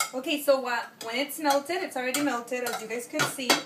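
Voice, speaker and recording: Over noticeable background noise, a woman speaks at a moderate pace in a high pitch with fairly even intonation. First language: Spanish. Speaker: home cook, video creator. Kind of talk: cooking tutorial. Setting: home kitchen. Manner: casual, hesitant with fillers.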